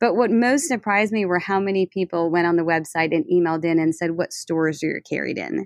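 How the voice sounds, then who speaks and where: A woman with an American accent at a very fast pace, in a dry, close sound with no echo. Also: ordinary pitch variation. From New Orleans, US. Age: 40s. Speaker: interior designer and business owner. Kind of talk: interview.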